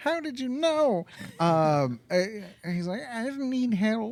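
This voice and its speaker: A put-on character voice at a fairly high pitch and a very slow pace. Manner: comical character voice.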